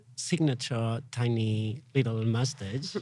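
Speaking with a Spanish accent, a man uses a medium pitch with ordinary pitch variation. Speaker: radio host. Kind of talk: casual interview chat. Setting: festival radio booth.

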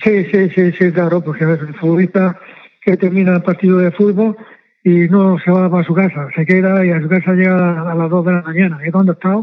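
A man's high, flat, monotone voice at a fairly quick pace. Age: 80s+. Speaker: former football team masseur. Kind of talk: interview.

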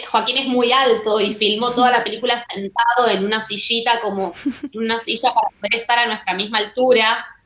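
A woman's fairly high, monotone, flat voice with music in the background. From Argentina. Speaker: filmmaker. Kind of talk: interview. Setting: remote call.

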